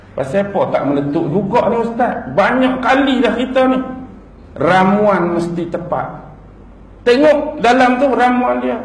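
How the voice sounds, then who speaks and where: Over noticeable background noise, a man with a high pitch talks at a very slow pace. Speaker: Islamic preacher (ustaz). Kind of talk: religious lecture (ceramah).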